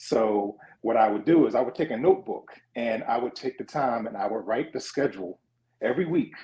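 The man has a dark, mellow tone and speaks with a Philadelphia accent. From Philadelphia (West Philly). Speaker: sports journalist. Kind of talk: casual interview.

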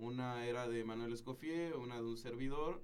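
At a moderate pace, a man talks in a medium pitch with an unremarkable speaking voice. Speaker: filmmaker. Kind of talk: casual chat. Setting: studio.

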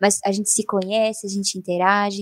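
A woman's fairly high-pitched voice with a dark, mellow tone, a moderate pace, and a dry, close sound with no echo. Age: 20s. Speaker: podcast co-host and illustrator. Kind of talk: casual chat.

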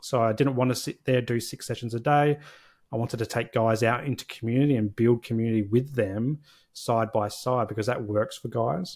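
A man with an Australian accent speaks at a fairly quick pace, medium in pitch with fairly even intonation. The recording is very clean, with a silent background. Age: 40s. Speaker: social worker and therapy practice founder. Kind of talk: casual interview.

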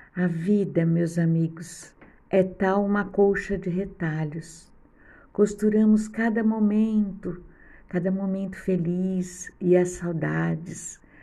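A soft-spoken woman talks at medium pitch and a very slow pace, somewhat breathy. Her tone is gentle, dark and mellow, with audible room echo. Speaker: podcast host. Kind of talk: reflective monologue. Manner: soft and gentle.

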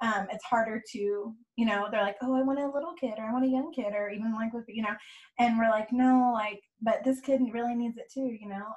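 Someone with an American accent talks at a fairly quick pace with fairly even intonation. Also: woman, fairly high pitch for a woman. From California, Bay Area. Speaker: nonprofit youth program worker. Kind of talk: casual chat. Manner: fast.

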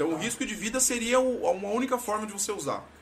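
An animated man talks at a fairly quick pace. Background noise is noticeable. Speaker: podcast host. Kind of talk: casual chat. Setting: studio.

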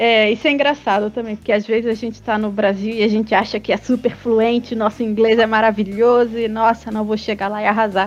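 A woman's fairly quick delivery with hardly any pauses and monotone, flat intonation. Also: fairly high pitch for a woman. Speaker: podcast co-host. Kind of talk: casual chat.

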